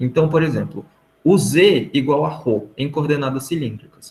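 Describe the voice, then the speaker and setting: Vocal fry at a fairly slow pace. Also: man. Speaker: math teaching assistant. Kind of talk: online tutoring session. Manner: casual, informal.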